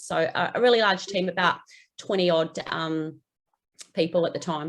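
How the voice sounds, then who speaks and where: Moderate pace and fairly even intonation from a woman with a New Zealand accent. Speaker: pest control general manager. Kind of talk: interview.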